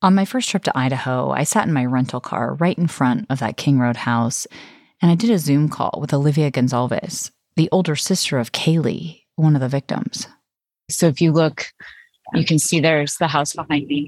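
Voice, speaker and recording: Very deep and low in pitch, a woman speaks at a moderate pace with ordinary pitch variation in a very clean recording with a silent background. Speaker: podcast host and narrator. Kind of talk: true-crime narration, scripted and read to the microphone. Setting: on location in Moscow, reporting. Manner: measured, somber, suspenseful storytelling tone.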